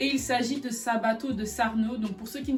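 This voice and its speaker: A woman at a moderate pace with fairly even intonation, plus audible room echo and noticeable background noise. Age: 20s. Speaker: fashion YouTuber. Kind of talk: casual video explainer.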